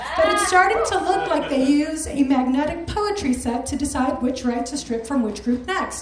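Heard with audible room echo, a woman with an American accent and a high pitch talks at a moderate pace with lively intonation. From Chicago. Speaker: culture writer. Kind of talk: read op-ed essay. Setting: stage with audience.

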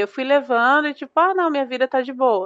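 This is a woman speaking at a high pitch. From Brazil, interior of Paraná. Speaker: emigrant interviewee. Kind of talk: casual chat.

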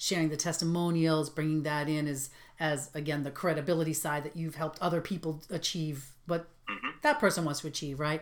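In a monotone, flat intonation, a woman with a very deep, low pitch speaks at a fairly quick pace. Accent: Boston. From Boston area. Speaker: podcast host. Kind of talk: interview.

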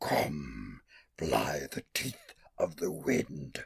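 Growling and raspy, a man puts on a character voice with a very deep, low pitch. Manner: snarling.

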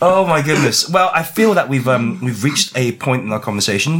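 A man's pitch swings very widely as he talks, and noticeable background noise is heard behind him. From Chinese heritage. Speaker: book club podcast host. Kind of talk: casual chat. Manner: animated.

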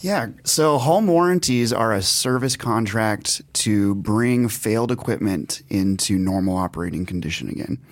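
A man speaks in a normal speaking voice at a medium pitch and moderate pace, with lively intonation. He hardly pauses, and the recording is very clean with a silent background. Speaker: home warranty industry representative. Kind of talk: casual interview.

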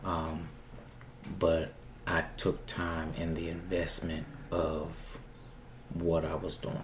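A man speaks very slowly and softly in a very deep, low voice with a flat, monotone delivery. His speech is somewhat breathy and broken by long, frequent pauses. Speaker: performer and show producer. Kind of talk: casual interview chat. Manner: soft-spoken.

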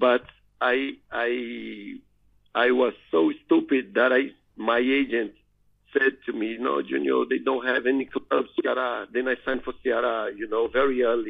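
A man with a Portuguese accent speaks at a fairly slow pace. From northeast Brazil. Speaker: retired footballer. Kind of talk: interview. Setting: phone call. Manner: halting.

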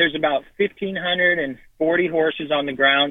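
This is an ordinary speaking voice, keeping a moderate pace while its pitch varies in an ordinary way. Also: man. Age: 50s. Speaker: racehorse trainer. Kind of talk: casual interview.

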